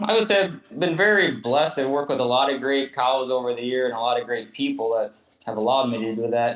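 A man with an Upper Midwest accent speaks at a medium pitch and a fairly quick pace. His intonation is lively. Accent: Upper Midwest American. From southeast Minnesota. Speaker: hoof trimmer and cattle fitter. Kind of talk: interview.

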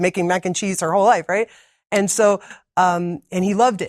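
The speaker has a New Jersey accent. The sound is dry and close with no echo, in a very clean recording with a silent background. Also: woman. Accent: New Jersey American. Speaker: medical missionary and cookbook author. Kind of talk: interview.

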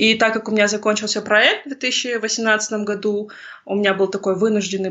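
This woman has a fairly high pitch and a plain, everyday voice. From Kazakhstan. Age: 30s. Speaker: oil and gas engineer turned startup founder. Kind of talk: interview conversation.

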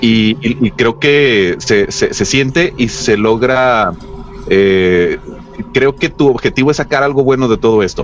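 A man talks at a very slow pace with very even loudness. Noticeable background noise runs underneath. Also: medium pitch for a man, ordinary pitch variation. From Mexico, Los Mochis, Sinaloa. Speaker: podcast co-host. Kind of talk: casual chat.

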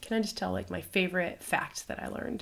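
On a very clean recording with a silent background, a woman with an American accent talks at a very fast pace in a fairly low pitch with vocal fry. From United States. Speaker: missionary podcast host. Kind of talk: casual conversation. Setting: recording while traveling in Ireland.

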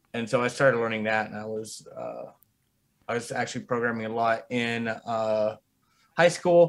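The speaker has a West Coast accent and a moderate pace. Loudness swings widely, while pitch varies in an ordinary way. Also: man, medium pitch for a man. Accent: general American, West Coast. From US West Coast (Bay Area, Reno). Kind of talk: casual chat. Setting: video call, livestream.

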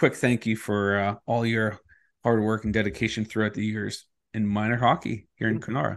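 Against a quiet background, a man with an ordinary speaking voice talks at a fairly quick pace, his fairly low pitch holding fairly even intonation. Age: 40s. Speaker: podcast host. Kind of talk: casual chat.

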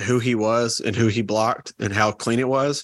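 Speaking in a Southern US accent, a man uses a medium pitch and fairly even intonation. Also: dry, close sound with no echo. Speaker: podcast co-host. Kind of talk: casual chat.

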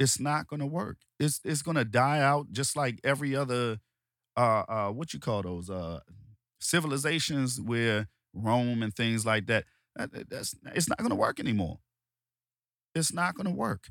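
Using lively intonation and a medium pitch, a man with an American accent talks at a moderate pace with long, frequent pauses, in a dry, close sound with no echo. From Washington DC, US. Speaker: podcast host. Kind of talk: angry rant, heated opinionated monologue. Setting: solo podcast recording. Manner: emphatic, repetitive, forceful, worked-up.

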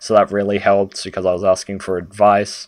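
A man with an Australian accent speaks at a moderate pace on a very clean recording with a silent background. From Sydney, Australia. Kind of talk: casual chat.

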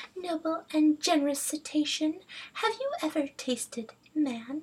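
At a moderate pace, a put-on character voice speaks in a high pitch. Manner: sly.

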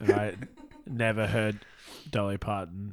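In an Australian accent, a man speaks at a very slow pace with a fairly low pitch. His intonation is monotone and flat, and the recording is very clean with a silent background. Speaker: film crew member. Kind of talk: casual chat.

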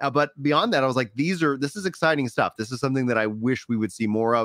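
With an American accent, a man talks at a very fast pace and a medium pitch, with ordinary pitch variation. The recording is very clean and dry, close with no echo, against a silent background. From Texas. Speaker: gaming podcast host. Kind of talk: casual chat. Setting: live stream.

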